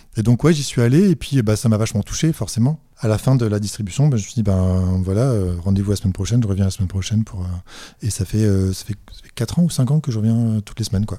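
At a very fast pace, a man talks with a dark, mellow tone and fairly low pitch, ordinary pitch variation, in a very clean recording with a silent background. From northern France (Dunkirk). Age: 40s. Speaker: comic book author. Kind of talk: casual interview. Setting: artist studio. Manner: hesitant, many repetitions.

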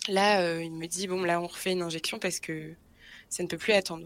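The delivery is monotone and flat. It moves at a moderate speed. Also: woman. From Brittany, France. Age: 20s. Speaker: guest sharing a health story. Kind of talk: personal testimony in interview. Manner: hesitant, many fillers and repetitions.

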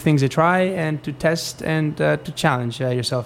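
Fairly even intonation carries a man's speech at a moderate speed. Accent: Spanish. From Spain. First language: Spanish. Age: 20s. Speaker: dressage rider. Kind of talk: interview. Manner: halting.

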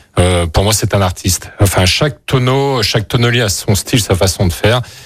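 In a very clean recording with a silent background, a man with a fairly low, somewhat breathy voice talks at a fairly quick pace with ordinary pitch variation. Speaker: winemaker. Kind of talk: radio interview. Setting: studio.

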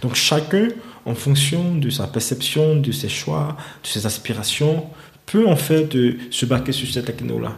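Delivered at a very slow pace with ordinary pitch variation, the voice comes through audible room echo and noticeable background noise. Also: man, fairly high pitch for a man. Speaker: finance entrepreneur. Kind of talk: interview. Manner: halting.

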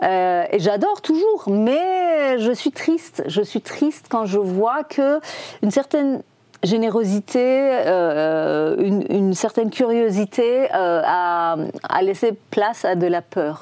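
A woman with a Persian accent talks at a very slow pace, her pitch fairly high and swinging very widely. Her tone is dark and mellow, and her loudness stays very even. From Iran. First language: Persian (speaking French). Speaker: film director. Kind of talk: interview. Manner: halting.

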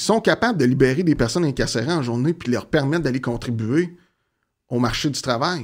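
A man with an ordinary speaking voice. He talks at a moderate pace. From Quebec, Gatineau (Outaouais). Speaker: community organization worker in offender reintegration. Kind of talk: interview conversation.

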